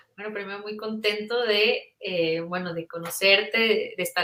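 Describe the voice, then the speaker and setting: At a moderate pace, a woman speaks at a medium pitch with ordinary pitch variation. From northern Mexico, Monterrey. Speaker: children's book author. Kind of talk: interview.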